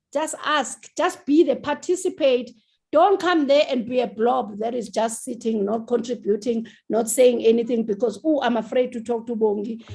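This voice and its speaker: A woman speaks loudly in a high pitch. Her tone is dark and mellow. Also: ordinary pitch variation, moderate pace. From South Africa. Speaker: TV writer and producer. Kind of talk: interview. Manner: animated.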